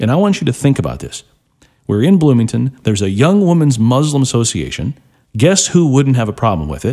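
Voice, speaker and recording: A man's dark, mellow tone in a Midwestern American accent, with very wide pitch swings. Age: 40s. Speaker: talk radio host. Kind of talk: talk radio monologue.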